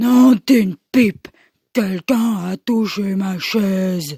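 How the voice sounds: A woman's put-on character voice, gruff and growling, with a dark, mellow tone, a slightly husky edge and a very slow pace, in a dry, close sound with no echo. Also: medium pitch for a woman, ordinary pitch variation.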